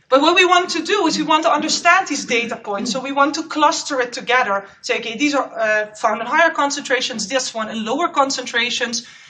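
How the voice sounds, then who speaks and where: Noticeable background noise and audible room echo surround a woman whose high-pitched voice carries lively intonation. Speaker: postdoc researcher. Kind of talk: conference talk.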